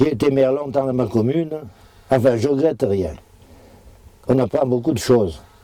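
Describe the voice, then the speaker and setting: Long, frequent pauses break up a man's moderate pace and dark, mellow tone. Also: medium pitch for a man, ordinary pitch variation. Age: 70s. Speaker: retired farmer. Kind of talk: interview, demonstration. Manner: halting.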